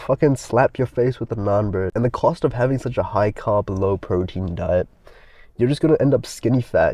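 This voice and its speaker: This man talks at a moderate pace with an American accent. His pitch is medium, with ordinary variation. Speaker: youtuber giving advice. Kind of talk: casual rant monologue. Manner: casual, filler-heavy; animated.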